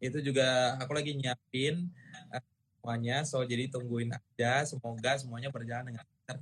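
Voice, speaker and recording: A somewhat breathy man at medium pitch speaks at a moderate pace with fairly even intonation. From Indonesia. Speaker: singer. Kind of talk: casual chat. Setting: video call.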